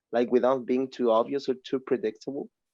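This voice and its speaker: This is a man with a Spanish accent. The background is quiet. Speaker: student asking a question. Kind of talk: audience question at an online masterclass. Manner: halting, many fillers.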